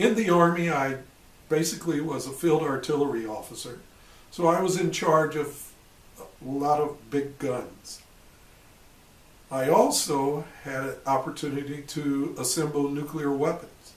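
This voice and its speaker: A man talks at a fairly slow pace with a fairly high pitch. He takes long, frequent pauses, and the room echo is audible. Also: ordinary pitch variation. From US Midwest, Illinois. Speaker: retired army officer. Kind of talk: personal testimony.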